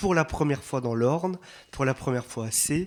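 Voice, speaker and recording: A man with an Alsatian accent speaks at a medium pitch, his pitch rising and falling in an ordinary way. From Alsace, France. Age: 40s. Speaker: priest, catechesis speaker. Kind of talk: retreat talk to catechists. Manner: warm, conversational with many fillers.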